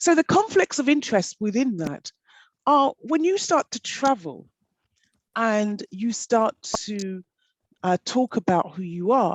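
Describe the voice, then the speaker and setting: Speaking with an English accent, the voice keeps a moderate pace. The pitch swings very widely. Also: woman. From south-west England (Devon, Somerset). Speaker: panel speaker on identity. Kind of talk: panel discussion talk.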